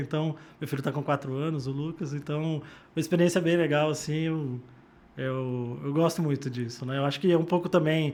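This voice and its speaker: A man's fairly high-pitched, fairly quick voice in a Rio de Janeiro accent. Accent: carioca. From Campinas, interior of São Paulo. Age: 40s. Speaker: hospital software executive. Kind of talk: podcast interview.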